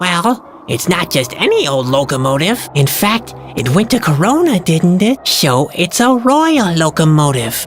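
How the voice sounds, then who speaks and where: A put-on character voice at a middle pitch is heard over clear background noise. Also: moderate pace. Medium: video game. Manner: soft-spoken, polite.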